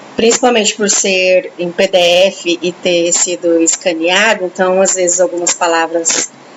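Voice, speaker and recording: A woman speaks at a fairly slow pace with a medium pitch and fairly even intonation. Noticeable background noise runs behind her. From Brazil, São Paulo/Minas/Goiás mix. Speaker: book club host. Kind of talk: reading aloud with commentary.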